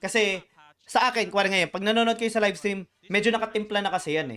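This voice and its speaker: A man speaks at a very fast pace in a high pitch. His tone is bright and sharp. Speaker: gaming streamer and shoutcaster. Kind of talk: live stream co-stream commentary, Taglish. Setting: live stream. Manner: stammering repetitions.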